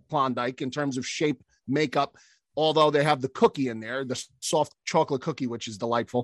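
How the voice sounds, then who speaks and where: A man speaks in an animated tone at a moderate pace, with a quiet background and a dry, close sound with no echo. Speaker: podcast guest. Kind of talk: casual chat.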